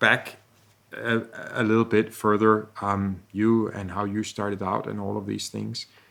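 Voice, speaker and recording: Speaking at a fairly slow pace with a Danish accent, a man uses a fairly low, bright, sharp voice. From Denmark. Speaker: podcast host, texture artist. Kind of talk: casual interview conversation.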